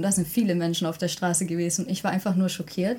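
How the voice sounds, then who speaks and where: The pace is very fast and the voice somewhat breathy. The recording is very clean, with a silent background. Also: woman. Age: 20s. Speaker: university student of Korean studies. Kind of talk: podcast interview.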